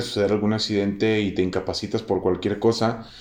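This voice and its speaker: A man talks at a fairly quick pace. He has a Mexican accent. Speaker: podcast host. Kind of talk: casual interview chat. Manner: halting, many fillers.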